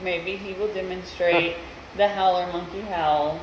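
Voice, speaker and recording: At a fairly slow pace, a woman speaks over noticeable background noise. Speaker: travel vlogger. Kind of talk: casual vlog chat. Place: home room. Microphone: phone near.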